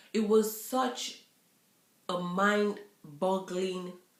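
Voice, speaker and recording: A woman's voice with audible room echo. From Nigeria. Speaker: YouTuber. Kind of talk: casual vlog chat. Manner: halting, with many fillers.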